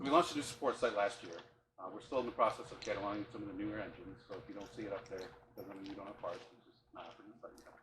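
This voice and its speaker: A man talks at a very fast pace in a fairly low pitch, with ordinary pitch variation and big swings in loudness. Audible room echo is present. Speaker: parts department tour guide. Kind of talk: guided tour talk. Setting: warehouse tour with group. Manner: soft-spoken.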